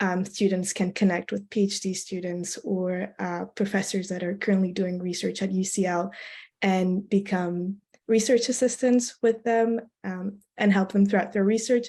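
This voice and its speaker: Over a quiet background, a woman speaks at a moderate pace and medium pitch, with a dark, mellow tone and fairly even intonation. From Belgium. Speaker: student election candidate. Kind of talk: interview. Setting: video call.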